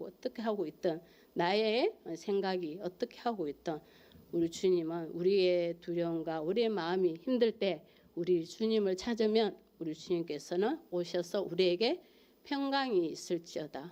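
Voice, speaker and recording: A woman speaks in a Gyeongsang accent at a medium pitch with a dark, mellow tone. Her pace is moderate and her pitch varies in an ordinary way. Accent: Gyeongsang regional Korean. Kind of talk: sermon-like, religious preaching.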